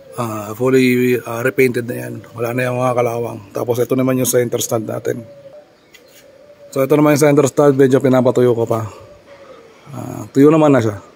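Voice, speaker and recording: A man speaks at a medium pitch in a monotone, flat delivery over noticeable background noise. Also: moderate pace. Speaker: motorcycle DIY vlogger. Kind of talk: casual tutorial vlog.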